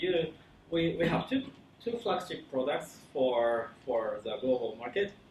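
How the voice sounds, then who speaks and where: With a Japanese accent, a man speaks in a fairly high pitch. His intonation is lively and his pace fairly slow. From Japan, Kyoto. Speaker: company founder and CEO. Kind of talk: conference talk. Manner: halting, many fillers and restarts.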